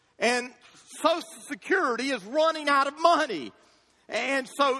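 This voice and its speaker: A man with an extremely high pitch talks in a raised, projected voice with ordinary pitch variation. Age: 50s. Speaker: pastor. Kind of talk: sermon. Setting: church.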